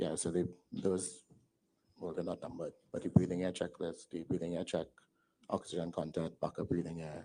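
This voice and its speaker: Soft-spoken and monotone, a man with a very deep, low, dark, mellow voice talks at a fairly quick pace with long, frequent pauses. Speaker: witness at a public enquiry. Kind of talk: testimony under questioning.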